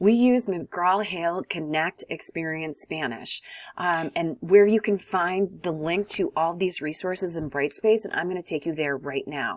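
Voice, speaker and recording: A woman with an American accent and a fairly low pitch talks with ordinary pitch variation and hardly any pauses. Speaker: college Spanish teacher. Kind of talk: tutorial. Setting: recorded video lesson. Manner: fast.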